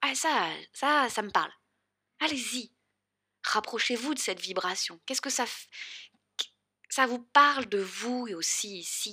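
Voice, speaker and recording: A woman with a high pitch and a bright, sharp tone speaks at a very slow pace, leaving long, frequent pauses. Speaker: podcast host and spiritual coach. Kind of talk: solo podcast monologue.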